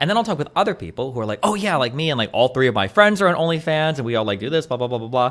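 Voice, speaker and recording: Against noticeable background noise, a man with a fairly high pitch races along at a very fast pace with very wide pitch swings and hardly any pauses. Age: 30s. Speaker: podcast guest. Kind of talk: casual chat.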